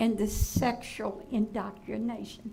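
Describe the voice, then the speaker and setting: With a Virginia accent, a woman speaks at a fairly high pitch in a room with audible echo. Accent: Southern US (Virginia). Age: 80s+. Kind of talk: public comment at a school board meeting. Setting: school board meeting room.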